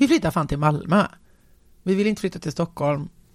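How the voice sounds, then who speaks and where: The woman's voice has a fairly low pitch and ordinary pitch variation. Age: 40s. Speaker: entrepreneur. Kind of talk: casual interview.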